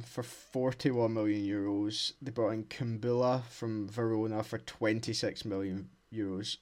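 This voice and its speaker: A man talks in a normal speaking voice at a medium pitch, with ordinary pitch variation and a fairly slow pace. The recording is very clean with a silent background. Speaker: podcast co-host. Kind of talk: casual football chat. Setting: dark room, lo-fi home microphone.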